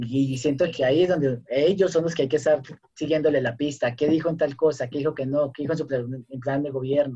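This man's fairly high voice has a dark, mellow tone, somewhat breathy, with fairly even intonation. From Colombia, small town. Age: 30s. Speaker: performing artist and cultural researcher. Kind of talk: casual chat.

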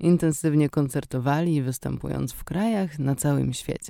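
At a moderate pace, a woman speaks in a very deep, low pitch with a dark, mellow tone and ordinary pitch variation. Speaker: radio host. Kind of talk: radio show presentation. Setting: radio studio.

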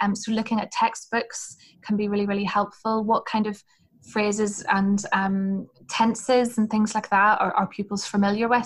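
A woman with a Northern Irish accent speaks at a moderate pace in a fairly high, somewhat breathy voice. Her intonation is flat and monotone. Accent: Northern Irish, Hillsborough area. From Northern Ireland. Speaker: former language assistant and teacher. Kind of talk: casual interview chat giving advice.

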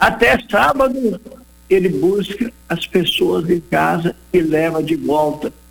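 Using lively intonation, a man with a high pitch talks at a very slow pace. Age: 80s+. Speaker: retired businessman and campaign founder. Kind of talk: radio interview; appeal to listeners.

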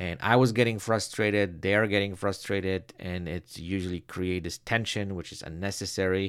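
Recorded very cleanly against a silent background, a man with a non-native accent talks at a moderate pace in a very deep, low voice, his loudness swinging widely and his speech hardly pausing. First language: not English. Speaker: headshot photographer. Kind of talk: solo podcast monologue.

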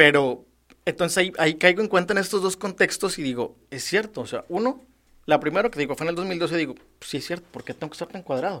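On a very clean recording with a silent background, a man with a Mexican accent talks at a very fast pace in a high, bright, sharp voice with big swings in loudness. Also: ordinary pitch variation. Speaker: public servant. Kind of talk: casual interview chat.

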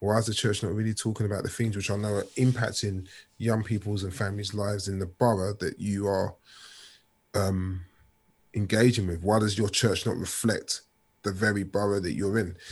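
A man's fairly low, somewhat breathy voice in a London accent, monotone and flat at a moderate pace, on a very clean recording with a silent background. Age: 40s. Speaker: author and youth worker. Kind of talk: interview.

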